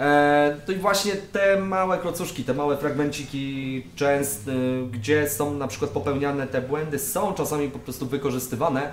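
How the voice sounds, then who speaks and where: A man with a fairly high pitch talks at a moderate pace, with ordinary pitch variation and hardly any pauses. Noticeable background noise and audible room echo fill the recording. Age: 20s. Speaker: metal band guitarist. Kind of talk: casual interview chat.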